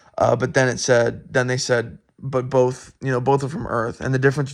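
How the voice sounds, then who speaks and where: A man speaks at a very fast pace. His pitch sits in the medium range. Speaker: student. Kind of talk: recorded answers to course discussion questions. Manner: halting, many fillers and restarts; loud.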